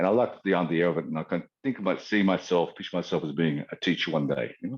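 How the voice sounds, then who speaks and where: A man with a very deep, low pitch and an Australian accent at a very fast pace. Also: ordinary pitch variation. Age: 60s. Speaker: qigong teacher. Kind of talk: interview. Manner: halting.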